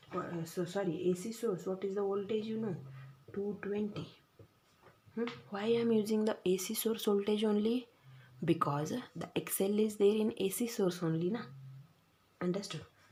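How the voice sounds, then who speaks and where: Audible room echo surrounds a woman who speaks at a moderate pace in a medium pitch with fairly even intonation and long, frequent pauses. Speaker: physics teacher. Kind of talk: lecture. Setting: recorded video lesson.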